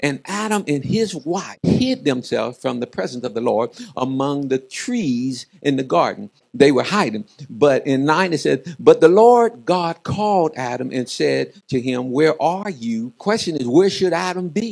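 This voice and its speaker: Against a quiet background, the man's delivery moves at a fairly slow pace. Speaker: preacher. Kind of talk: sermon. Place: church. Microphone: handheld.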